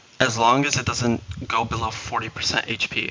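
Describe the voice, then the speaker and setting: A man talks with a mid-range pitch. Background noise is clearly noticeable. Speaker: video game streamer. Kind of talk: live stream commentary giving strategy advice.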